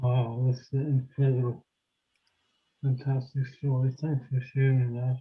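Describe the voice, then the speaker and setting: Long, frequent pauses from a man at medium pitch with flat, monotone intonation. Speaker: group participant. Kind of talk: casual group discussion. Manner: halting.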